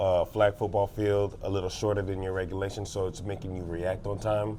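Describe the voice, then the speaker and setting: In a Haitian accent, a man speaks at a fairly quick pace and fairly low pitch. His intonation is flat and monotone. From Miami, Florida (Haitian household). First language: Haitian Creole. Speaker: high school flag football coach. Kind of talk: casual interview. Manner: frequent fillers (um, uh).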